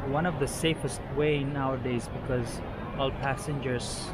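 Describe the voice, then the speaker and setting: A man talks at a fairly slow pace against loud background noise. The sound is dry, with no echo. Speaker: travel vlogger. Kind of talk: casual vlog chat. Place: station. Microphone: phone near.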